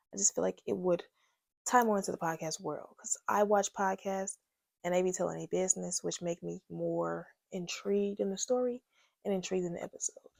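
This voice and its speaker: A woman at a moderate pace, in a dry, close sound with no echo. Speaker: podcast host. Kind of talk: casual storytime monologue. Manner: getting louder as she goes.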